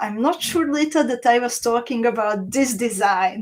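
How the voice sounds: A woman speaks at a moderate pace with a fairly high pitch. Her tone is slightly mellow.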